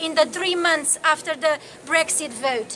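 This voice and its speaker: Over noticeable background noise, a woman with a Romanian accent uses a raised, projected voice at an extremely high pitch, speaking at a fairly slow pace with ordinary pitch variation. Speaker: activist and campaigner. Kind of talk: public speech at a rally. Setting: outdoor demonstration.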